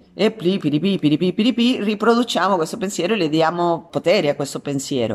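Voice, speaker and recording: A woman with a Spanish accent, her pitch swinging very widely, at a fairly quick pace. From Argentina, San Juan. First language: Spanish (speaking Italian). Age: 50s. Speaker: actress and art therapist. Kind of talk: radio interview.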